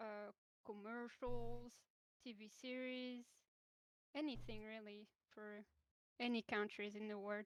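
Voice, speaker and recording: A woman with a French accent speaks at a fairly slow pace, leaving long, frequent pauses. Her intonation stays flat and monotone while her loudness swings widely. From France. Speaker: animator. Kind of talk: casual interview. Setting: online voice call. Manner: halting. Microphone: too quiet, low audio.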